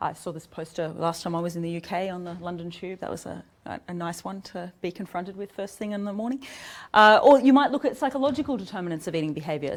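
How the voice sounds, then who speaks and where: With an Australian accent, a woman at medium pitch talks at a very fast pace in a very clean recording with a silent background. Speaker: psychology researcher. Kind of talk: academic seminar lecture. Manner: fast when excited, drops consonants.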